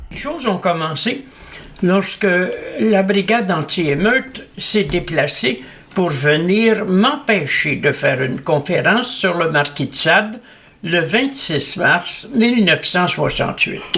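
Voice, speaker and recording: Over noticeable background noise, a man projects a raised voice at a very slow pace, with high pitch, lively intonation and very even loudness. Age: 80s+. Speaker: philosopher. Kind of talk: interview. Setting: at his home.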